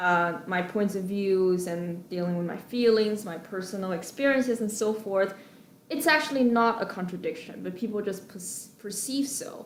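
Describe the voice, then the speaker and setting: A woman with a Chinese accent speaks at a medium pitch and moderate pace with ordinary pitch variation, over noticeable background noise. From China. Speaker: graduate student. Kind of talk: personal testimony. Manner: hesitant, many fillers.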